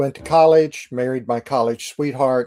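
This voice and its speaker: Dark, mellow tone in an American accent, dry and close with no echo, on a very clean recording against a silent background. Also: man. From US Midwest, St. Louis, Missouri. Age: 60s. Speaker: Navy chaplain. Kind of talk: interview.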